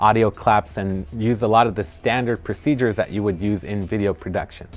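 Faint music plays behind a man speaking at a fairly quick pace. His pitch is fairly low and his intonation fairly even. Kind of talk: interview answer. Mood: friendly, relaxed. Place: studio. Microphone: lapel.

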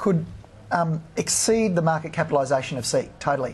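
A man talks with an Australian accent. His pitch is fairly high. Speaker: fund manager. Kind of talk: TV interview, stock analysis. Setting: TV studio. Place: studio. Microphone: lapel.

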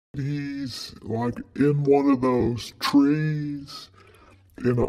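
At a very slow pace, a man talks with a fairly high pitch. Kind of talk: surreal spoken-word art piece. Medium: audio drama. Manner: rambling, anxious, circling back on itself.

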